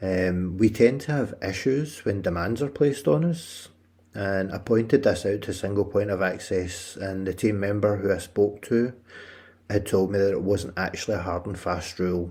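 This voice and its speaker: Speaking at a moderate pace in a fairly low pitch, a man with a Scottish accent sounds somewhat breathy and shows ordinary pitch variation. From Scotland. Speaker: podcast host. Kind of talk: personal narrative podcast.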